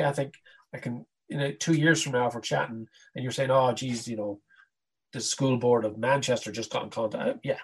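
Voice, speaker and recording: With an Irish accent, a man talks at a fairly quick pace in a somewhat breathy voice with ordinary pitch variation. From Ireland. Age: 50s. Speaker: karate teacher and international educator. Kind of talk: casual chat. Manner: animated.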